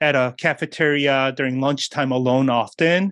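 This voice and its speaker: A man with an American accent uses a normal speaking voice, medium in pitch with fairly even intonation, at a moderate pace on a very clean recording with a silent background. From South Korea, then New York City from age 10. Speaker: pastor and author. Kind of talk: interview.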